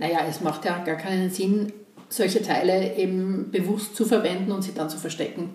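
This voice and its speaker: The speaker keeps a moderate pace with fairly even intonation. Audible room echo and noticeable background noise come through. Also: woman, medium pitch for a woman. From Austria, Graz (Styria). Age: 50s. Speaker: podcast host, construction professional. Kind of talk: casual chat.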